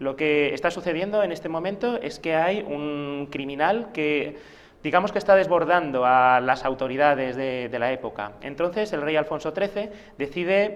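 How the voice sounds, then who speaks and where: The intonation is lively. The pace is moderate. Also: man, fairly high pitch for a man. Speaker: author of a role-playing game book. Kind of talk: TV interview. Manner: hesitant, many fillers.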